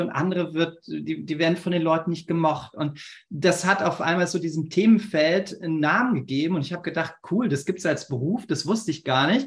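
This man speaks at a high pitch. His pitch variation is ordinary. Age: 40s. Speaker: company founder and consultant. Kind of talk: interview.

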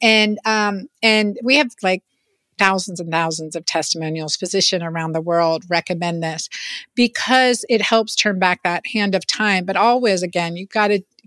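A woman speaks in an ordinary speaking voice at a moderate pace and medium pitch, with ordinary pitch variation. The sound is dry and close, with no echo. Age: 50s. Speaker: physician. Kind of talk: interview.

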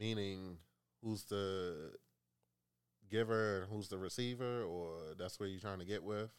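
With long, frequent pauses, a man speaks at a fairly slow pace, his fairly low pitch carried on fairly even intonation. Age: 30s. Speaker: coworker guest. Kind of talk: casual chat.

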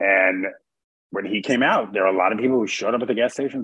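Here a man talks at a very fast pace. His pitch is medium, and he has an American accent. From New York City, Queens. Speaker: entertainment journalist. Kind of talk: interview. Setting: remote call.

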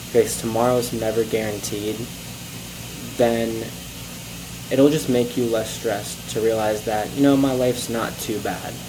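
The speech moves at a moderate pace with long, frequent pauses, set against noticeable background noise. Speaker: podcaster. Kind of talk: solo podcast monologue, casual. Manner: casual, filler-heavy.

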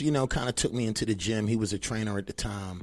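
In a plain, everyday voice, a man with an American accent talks at a fairly quick pace with ordinary pitch variation. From Maryland, US (Annapolis). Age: 40s. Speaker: fitness trainer. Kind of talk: casual interview.

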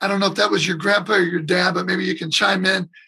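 A raised, projected voice with an American accent. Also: man. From US Midwest, Detroit. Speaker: drummer. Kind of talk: casual chat.

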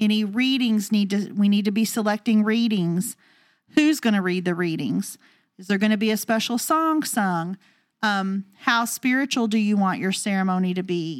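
Animated in tone, a woman speaks at medium pitch and a moderate pace with ordinary pitch variation. The recording is very clean, with a silent background. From rural US. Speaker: wedding professional and podcast co-host. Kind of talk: casual chat.

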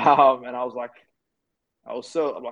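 Speaking with an Australian accent, a man keeps to a moderate pace. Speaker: youth advocate and keynote speaker. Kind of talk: interview.

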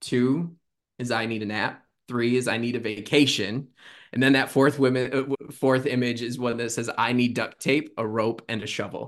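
A man with a medium pitch and an unremarkable speaking voice talks at a moderate pace with fairly even intonation. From Michigan. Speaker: student affairs professional. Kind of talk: casual chat.

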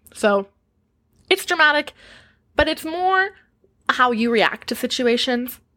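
In a raised, projected voice with a bright, sharp tone, a woman speaks at a high pitch with lively intonation and long, frequent pauses. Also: fairly slow pace. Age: 20s. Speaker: podcast host and stripper. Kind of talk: casual solo podcast Q&A.

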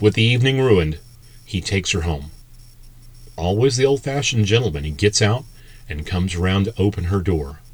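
Fairly low in pitch and somewhat breathy, a man talks at a fairly quick pace with lively intonation, broken by long, frequent pauses. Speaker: podcast host. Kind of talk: scripted true-crime horror narration, spooky storytelling. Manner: playfully wry, with knowing pauses and hesitations.

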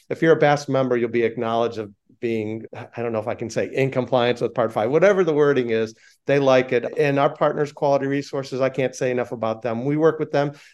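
A very fast man with an American accent, medium in pitch and fairly even in intonation, against a quiet background. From Chicago. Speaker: aviation safety organization founder and airline pilot. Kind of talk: interview conversation.

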